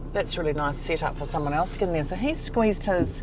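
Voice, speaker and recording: A woman with a New Zealand accent amid audible room echo and noticeable background noise. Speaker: travel vlogger. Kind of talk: casual chat. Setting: in a van. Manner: loud.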